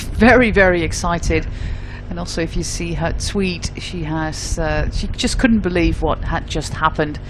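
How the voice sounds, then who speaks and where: There is noticeable noise in the background. The speech moves at a moderate pace. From Netherlands. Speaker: cycling commentator. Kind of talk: live commentary.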